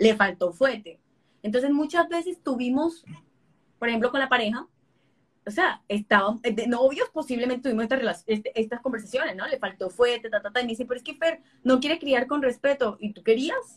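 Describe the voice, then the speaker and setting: A woman speaks with a high pitch and ordinary pitch variation. Her pace is fairly quick, and her loudness swings widely. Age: 30s. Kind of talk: interview.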